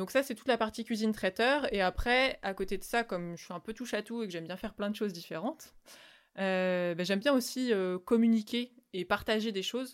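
Delivered at a fairly quick pace, an ordinary speaking voice shows big swings in loudness and ordinary pitch variation in a very clean recording with a silent background. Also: woman, fairly high pitch for a woman. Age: 30s. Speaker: vegan caterer. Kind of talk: interview.

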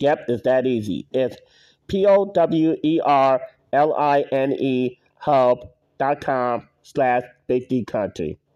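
Over a quiet background, a man talks very slowly at medium pitch with ordinary pitch variation. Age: 40s. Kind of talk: casual monologue. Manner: halting, with frequent self-corrections.

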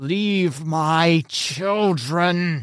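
A man's growling, put-on character voice at a high pitch

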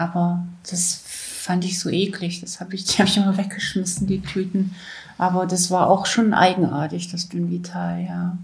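Her delivery is monotone and flat, at a moderate pace and medium pitch, as a woman speaks in a somewhat breathy voice. Audible room echo surrounds the recording. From Saxony-Anhalt, East Germany. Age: 60s. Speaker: former athlete. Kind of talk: interview testimony.

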